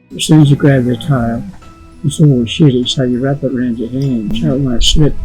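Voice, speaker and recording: A man at medium pitch with ordinary pitch variation and a fairly quick pace, with music in the background. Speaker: former stockman. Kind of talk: interview answer.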